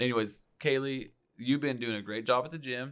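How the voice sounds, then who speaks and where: A man with a plain, everyday voice and an American accent, at a moderate pace and ordinary pitch variation, in a very clean recording with a silent background. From Oklahoma. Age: 30s. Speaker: podcast co-host. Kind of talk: casual chat.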